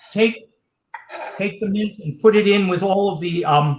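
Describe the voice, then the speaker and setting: Speaking with an American accent, a man uses a high pitch and lively intonation at a fairly slow pace. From Washington DC area. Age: 60s. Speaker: policy expert. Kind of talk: casual chat.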